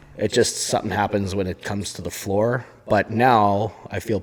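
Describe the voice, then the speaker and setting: A man speaks at a moderate pace with a fairly low pitch and fairly even intonation, over noticeable background noise. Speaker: strongman competitor and podcast co-host. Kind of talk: casual chat. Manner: loud. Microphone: volume turned down, too quiet at first.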